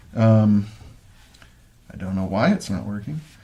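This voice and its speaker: Audible room echo surrounds a man with an American accent who speaks at a moderate pace. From United States. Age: 60s. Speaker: guitar amp builder and live streamer. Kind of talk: casual live stream chat. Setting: live web stream from home. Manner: hesitant, many fillers.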